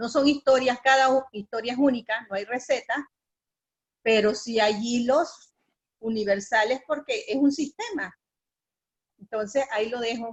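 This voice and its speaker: Speaking at a fairly slow pace with long, frequent pauses, a woman uses a high voice with ordinary pitch variation. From Panama. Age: 60s. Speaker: feminist activist. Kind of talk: panel discussion.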